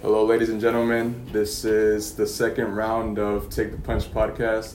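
A man with an American accent, fairly low-pitched, flat and monotone, at a fairly slow pace, with audible room echo. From Yuma, Arizona. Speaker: podcast host. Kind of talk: casual interview.

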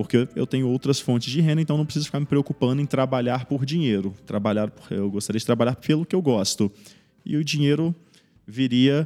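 Recorded dry and close with no echo, a man speaks at a fairly quick pace in a dark, mellow tone at a medium pitch, with ordinary pitch variation. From Brazil, Espírito Santo. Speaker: medical resident. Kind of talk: interview. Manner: hesitant, many fillers.

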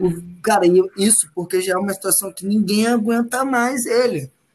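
A man speaks with ordinary pitch variation. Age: 20s. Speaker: football fan guest. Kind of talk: casual chat.

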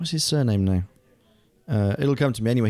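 Very fast speech from a man with a British accent, medium pitch and a dark, mellow tone. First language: German. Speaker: voice actor and stage actor. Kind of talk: casual chat.

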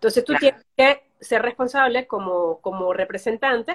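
At a moderate pace, a woman talks with ordinary pitch variation in a dry, close sound with no echo. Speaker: journalist and social media specialist. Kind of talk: casual interview.

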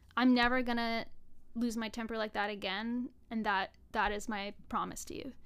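A woman speaks at a moderate pace with an animated tone. Her voice sits fairly high. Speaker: online show co-founder. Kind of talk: casual interview chat. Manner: animated, joking.

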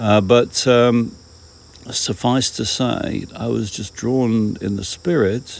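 With a British accent, a man speaks very slowly at a medium pitch, with ordinary pitch variation. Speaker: audiobook reader and devotional podcaster. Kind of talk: reading aloud with personal intro and prayer. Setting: recording at home, outdoors. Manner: informal, rambling, reflective.

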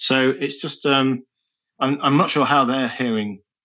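A man talks with an East Midlands accent. He keeps a moderate pace. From English Midlands, Nottingham. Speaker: rock band singer. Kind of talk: interview conversation. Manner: hesitant, many fillers and repetitions.

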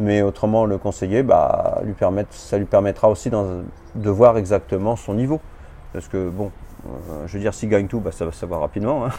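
The speech moves at a moderate pace with ordinary pitch variation, and there is noticeable background noise. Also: man, fairly low pitch for a man. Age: 50s. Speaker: amateur tennis player. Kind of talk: casual interview. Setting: in person.

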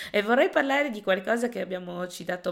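Vocal fry marks a woman's voice on a very clean recording with a silent background. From Italy. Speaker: podcast host. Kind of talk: conversational interview.

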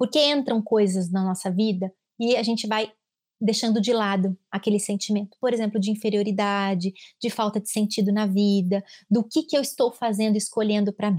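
Breathing a little into her words, a woman at medium pitch speaks at a moderate pace with fairly even intonation, the sound dry and close with no echo in a very clean recording with a silent background. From Brazil, São Paulo state. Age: 30s. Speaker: clinical psychologist. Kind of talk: casual chat.

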